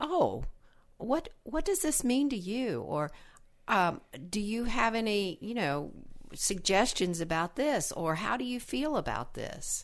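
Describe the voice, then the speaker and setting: On a very clean recording with a silent background, a woman speaks at a fairly high pitch with very wide pitch swings. Her pace is fairly slow, and vocal fry runs through her voice. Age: 70s. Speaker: relationship podcast co-host, retired library director. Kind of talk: casual chat.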